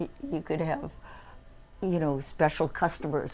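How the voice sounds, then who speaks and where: With music in the background, a woman talks in a very deep, low pitch. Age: 80s+. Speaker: retired psychologist. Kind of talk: casual chat. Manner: halting.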